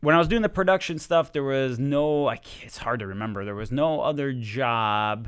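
Lively in intonation, a man talks at a medium pitch and a moderate pace. His loudness swings widely, and he leaves hardly any pauses. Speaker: video game developer. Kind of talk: casual chat. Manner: energetic.

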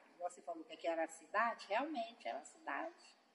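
Her pitch swings very widely. This woman's voice sits at a medium pitch. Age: 50s. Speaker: shop owner, colony resident. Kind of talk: oral history interview. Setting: museum in the colony.

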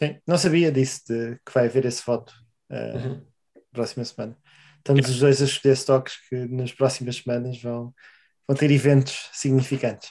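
With a European Portuguese accent, a man speaks at a moderate pace and medium pitch in a dark, mellow tone with monotone, flat intonation. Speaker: podcast co-host. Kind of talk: casual chat.

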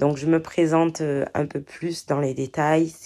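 In a dark, mellow tone, a woman speaks at a very slow pace with monotone, flat intonation. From southern France, Marseille. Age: 30s. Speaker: podcast host, hair care entrepreneur. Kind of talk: casual monologue. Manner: hesitant, many fillers.

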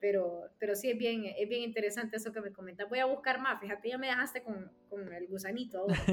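Music plays in the background as a woman talks at a very fast pace with hardly any pauses. Her pitch is fairly high and her intonation fairly even. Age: 30s. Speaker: sports radio host. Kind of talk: interview.

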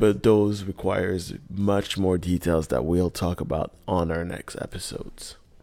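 Against music in the background, a man with a very deep, low pitch speaks at a fairly slow pace in fairly even intonation, with hardly any pauses. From Quebec, Montreal. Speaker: podcast host. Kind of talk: casual solo podcast talk.

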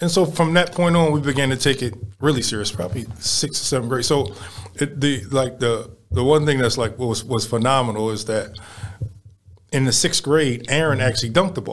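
This man has an American accent and a medium pitch, with ordinary pitch variation. He sounds somewhat breathy and speaks at a fairly quick pace. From Baltimore, Maryland (East Baltimore). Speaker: youth basketball program director. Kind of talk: casual interview chat. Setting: studio.

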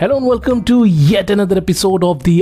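The speaker sounds animated, with lively intonation. Noticeable background noise runs underneath. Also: man. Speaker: podcast host. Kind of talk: interview.

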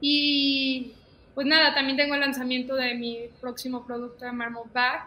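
Noticeable background noise and audible room echo surround a woman with a high pitch. She speaks at a fairly slow pace in a monotone, flat intonation. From León, Guanajuato, Mexico. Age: 20s. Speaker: fashion designer and stylist. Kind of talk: casual interview chat.

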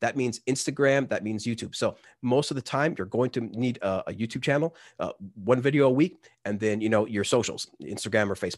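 Against a quiet background, a man with an ordinary speaking voice speaks at a fairly quick pace, with a medium pitch and ordinary pitch variation. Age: 30s. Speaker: music app content creator. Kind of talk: casual chat.

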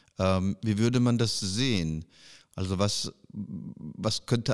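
On a very clean recording with a silent background, a man with a very deep, low pitch speaks at a very slow pace with ordinary pitch variation. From western Germany. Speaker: podcast host. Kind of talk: casual interview.

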